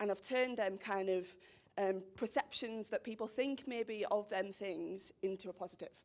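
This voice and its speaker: A woman speaks with a strong Teesside accent. Her pace is moderate. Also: medium pitch for a woman, ordinary pitch variation. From northern England, Teesside (Stockton). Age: 20s. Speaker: social media professional, speaker. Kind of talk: presentation to a school audience. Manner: energetic.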